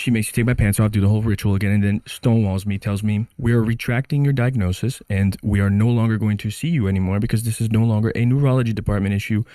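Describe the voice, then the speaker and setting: A man's dark, mellow voice at a fairly low pitch, with an American accent, at a very fast pace and very even loudness, on a very clean recording with a silent background. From Brazil. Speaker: immigrant patient telling her story. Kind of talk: casual chat. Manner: animated.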